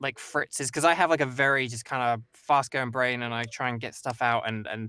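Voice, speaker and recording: In an English accent, a man speaks at a medium pitch and a fairly quick pace with fairly even intonation and a bright, sharp tone, on a very clean recording with a silent background. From England. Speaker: voice actor. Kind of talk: casual chat.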